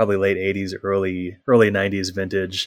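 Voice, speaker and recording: On a very clean recording with a silent background, a man with an American accent talks at a moderate pace and fairly low pitch. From Minnesota. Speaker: lawyer. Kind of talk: casual interview.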